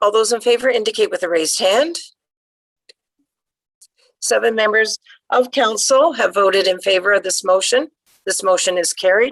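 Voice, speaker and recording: A woman puts on a raspy character voice pitched fairly high, with ordinary pitch variation. Her pace is moderate, broken by long, frequent pauses. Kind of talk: formal, meeting chair.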